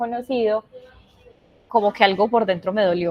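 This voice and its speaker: A woman with a paisa accent speaks at a moderate pace in a fairly high pitch. Her intonation is fairly even, and there is noticeable background noise. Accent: paisa (Antioquia). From Colombia, Medellín (Antioquia). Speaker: science communicator and illustrator, invited speaker. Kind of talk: virtual talk presentation. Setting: virtual event.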